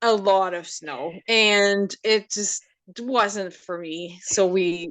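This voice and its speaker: A woman speaks with a French Canadian accent at a medium pitch and ordinary pitch variation. The background is quiet. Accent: French Canadian accent, noticeable. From Quebec, Canada. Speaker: photographer. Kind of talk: casual interview. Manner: hesitant, many ums.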